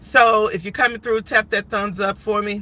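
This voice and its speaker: This woman talks at a moderate pace. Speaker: live stream commentator. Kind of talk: casual live stream commentary.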